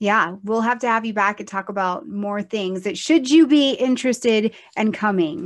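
The speaker has an unremarkable speaking voice, keeps a moderate pace with ordinary pitch variation, and hardly pauses at all. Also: woman, fairly high pitch for a woman. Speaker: astrology show host. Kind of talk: casual chat.

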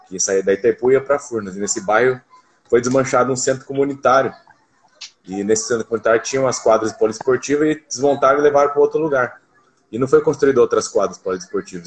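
This man has an unremarkable speaking voice, medium in pitch with ordinary pitch variation, and talks at a fairly quick pace. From Foz do Iguaçu, Paraná, Brazil. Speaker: basketball coach. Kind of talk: casual interview.

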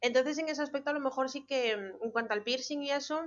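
Moderately paced female speech with ordinary pitch variation. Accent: Galician. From Galicia, Spain (born abroad). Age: 30s. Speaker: veterinarian. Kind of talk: casual chat.

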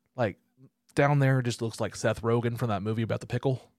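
With an Oklahoma accent, a man talks at a medium pitch in a playful tone, the sound dry and close with no echo. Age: 30s. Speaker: comedian and podcast host. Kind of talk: casual chat. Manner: playful, does funny voices.

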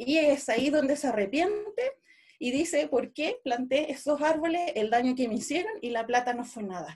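At a moderate pace, a woman talks in a high pitch with lively intonation. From Chile, Araucanía (Nueva Imperial). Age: 30s. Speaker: Mapuche traditional educator. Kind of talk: radio interview.

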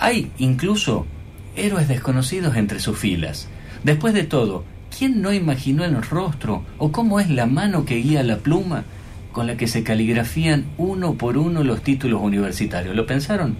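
Audible room echo surrounds a man speaking at a moderate pace in a medium pitch, his voice making very wide pitch swings. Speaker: radio host. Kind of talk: scripted narration; radio interview. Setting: radio studio.

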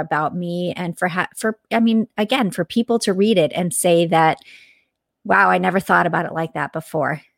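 Recorded very cleanly with a silent background and a dry, close sound with no echo, a woman with a plain, everyday voice speaks at a moderate pace in a fairly low pitch with ordinary pitch variation. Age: 40s. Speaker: author and motivational speaker. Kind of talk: casual interview.

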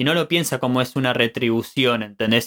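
A man with an Argentine accent talks in a medium pitch at a moderate pace. His tone is bright and sharp, with a dry, close sound and no echo. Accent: Argentine Spanish (Rioplatense). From Argentina. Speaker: podcast host. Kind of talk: casual chat. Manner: halting.

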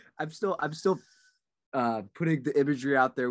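In a normal speaking voice, a man talks at a fairly quick pace with lively intonation, the sound dry and close with no echo. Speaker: podcast co-host. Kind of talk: casual banter podcast.

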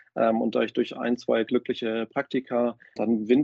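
With a medium-pitched voice, this man talks at a moderate speed. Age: 30s. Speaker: fintech business developer and angel investor. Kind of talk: casual interview. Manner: halting, many fillers and repetitions.

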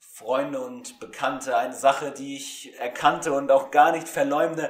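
Fairly slow and fairly high-pitched, a man speaks with ordinary pitch variation. He has an unremarkable speaking voice. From Germany. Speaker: student radio presenter. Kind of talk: spoken word poetry reading; casual chat. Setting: remote recording, not in studio.

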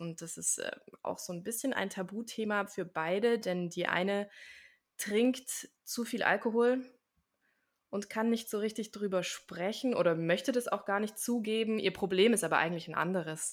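On a very clean recording with a silent background, a woman talks at a moderate pace. She has a plain, everyday voice of medium pitch with ordinary pitch variation. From Swabia, southern Germany (village near Stuttgart). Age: 30s. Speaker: actress and life coach. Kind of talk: interview.

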